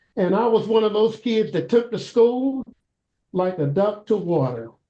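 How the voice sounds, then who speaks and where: The speaker has a Kentucky accent. The pace is moderate. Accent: US South, Kentucky. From Louisville, Kentucky. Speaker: school board candidate, retired college professor. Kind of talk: interview. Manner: hesitant, many fillers.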